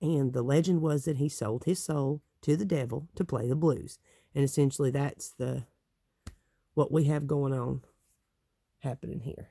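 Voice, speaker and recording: With a Southern Appalachian accent, a man speaks at a fairly high pitch in a dark, mellow, somewhat breathy tone, leaving long, frequent pauses on a very clean recording with a silent background. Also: fairly even intonation, moderate pace. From Appalachia, East Tennessee. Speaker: tarot deck reviewer. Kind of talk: casual talk to camera.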